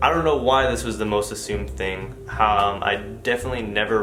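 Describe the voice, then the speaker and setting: With a slight Filipino accent, a man speaks at a fairly quick pace and fairly low pitch with lively intonation, amid noticeable background noise and audible room echo. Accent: slight Filipino accent on certain words. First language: Tagalog. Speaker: parenting vlogger. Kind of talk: casual vlog Q&A.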